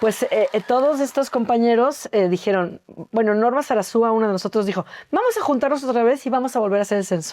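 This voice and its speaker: Speaking very fast, this woman has a fairly high voice. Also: ordinary pitch variation, very even loudness. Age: 60s. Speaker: actress and acting teacher. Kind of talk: interview.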